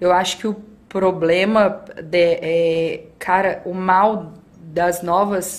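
Amid audible room echo, a woman speaks at a very slow pace in a monotone, flat intonation. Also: medium pitch for a woman. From Brazil, interior of Minas Gerais. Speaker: athlete and skydiver. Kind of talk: casual chat.

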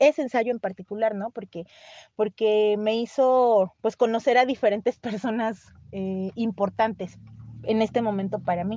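Delivered with fairly even intonation, this is a normal speaking voice. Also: woman. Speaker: writer. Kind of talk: interview. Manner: fast, many fillers and repetitions.

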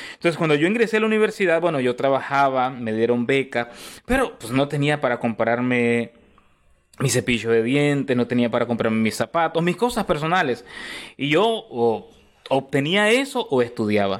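Very wide pitch swings at a moderate pace in a very clean recording with a silent background. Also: man, fairly high pitch for a man. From Costa Rica (born in Nicaragua). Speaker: pastor. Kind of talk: interview conversation.

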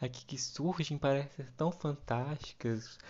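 A man's intonation stays fairly even as he talks in a normal speaking voice. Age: 20s. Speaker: podcast host. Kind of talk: casual solo monologue.

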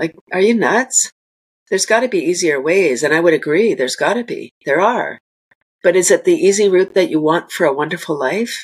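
At a fairly quick pace, a woman of medium pitch speaks with lively intonation. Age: 60s. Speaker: composting educator and business owner. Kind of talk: casual interview chat. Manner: animated.

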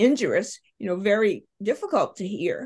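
Fairly high in pitch and somewhat breathy, a woman with an American accent talks with lively intonation. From US South, rural South Carolina near Charleston. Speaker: podcast co-host, educator. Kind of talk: casual chat.

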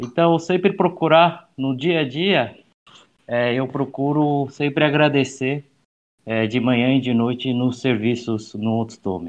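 An ordinary speaking voice from a man, medium in pitch, at a fairly slow pace with ordinary pitch variation. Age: 30s. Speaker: youth association director. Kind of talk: casual chat.

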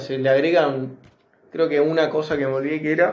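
Audible room echo surrounds a man speaking in a fairly high voice. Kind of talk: casual chat. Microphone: phone recording.

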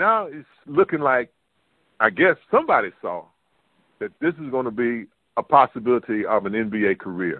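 Long, frequent pauses from a medium-pitched man, with very wide pitch swings and big swings in loudness. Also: moderate pace. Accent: North Carolina. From US South, North Carolina. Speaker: podcast host, former basketball player. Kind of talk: interview.

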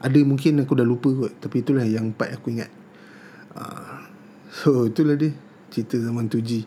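Long pauses come often in this moderately paced speech, whose intonation stays fairly even. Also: man, medium pitch for a man. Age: 40s. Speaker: tech podcast host. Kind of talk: casual solo podcast monologue. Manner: casual, with frequent fillers.

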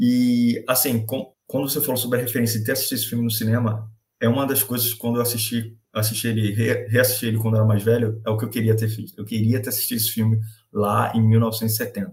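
At a very fast pace, a man speaks in a somewhat breathy voice at medium pitch, his intonation monotone and flat. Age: 20s. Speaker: podcast co-host. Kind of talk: casual chat.

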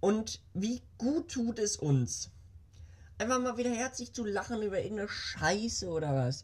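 A somewhat breathy female voice with very wide pitch swings. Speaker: podcast host. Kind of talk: casual monologue. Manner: animated. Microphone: new small microphone.

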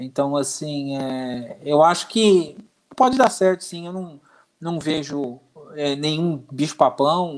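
A man speaks at a very slow pace with a fairly high pitch. His loudness swings widely. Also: ordinary pitch variation. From Brazil, Santo André (São Paulo). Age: 50s. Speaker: football fan, former youth athlete. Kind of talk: casual chat.

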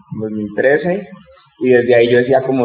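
A man is talking. Noticeable background noise can be heard. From Colombia, Bogotá. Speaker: rapper and educator. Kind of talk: interview.

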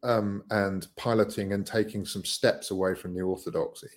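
A man speaks at a moderate pace with a British accent. His pitch sits fairly low. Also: very clean recording, silent background. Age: 50s. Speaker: social impact entrepreneur. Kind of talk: interview.

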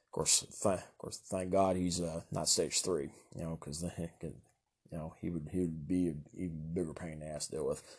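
This man speaks with a Southern US accent at a very deep, low pitch. His delivery is fairly quick, with monotone, flat intonation. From Kentucky, US South. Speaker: solo podcaster. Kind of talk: casual monologue. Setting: home recording. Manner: stutters, halting with many fillers; nervous laughter.

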